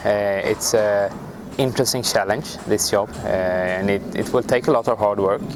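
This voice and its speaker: Noticeable background noise accompanies a man speaking at a moderate pace. His medium-pitched voice shows ordinary pitch variation. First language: not English. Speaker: national football team coach. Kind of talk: interview. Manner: halting.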